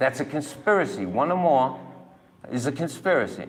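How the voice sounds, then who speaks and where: The speaker has a Massachusetts accent and ordinary pitch variation. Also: man. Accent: New England (Massachusetts). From Massachusetts, New Bedford. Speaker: citizen filing a police complaint. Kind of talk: heated complaint at police station. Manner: animated.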